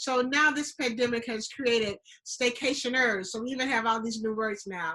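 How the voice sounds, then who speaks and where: Speaking at a moderate pace, a woman with a Southern US accent uses a high pitch. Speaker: travel show host. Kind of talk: casual chat.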